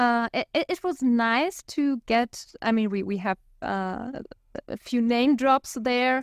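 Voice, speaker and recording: Speaking at a very slow pace, a woman uses a high pitch with ordinary pitch variation, and the sound is dry and close with no echo. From Germany. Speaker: podcast co-host. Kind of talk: casual discussion podcast. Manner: halting, hesitant.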